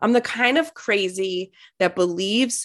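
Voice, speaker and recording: Against a quiet background, a woman talks in an animated tone with a dry, close sound and no echo. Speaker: life coach and podcast host. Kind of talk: motivational monologue.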